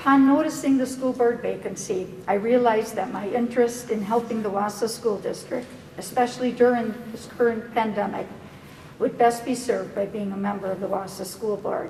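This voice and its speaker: A woman with an American accent at a moderate pace and fairly high pitch, fairly even intonation, noticeable background noise and audible room echo. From US Midwest, Merrill, Wisconsin. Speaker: physician applying for school board seat. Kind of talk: prepared public statement. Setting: public board meeting. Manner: formal.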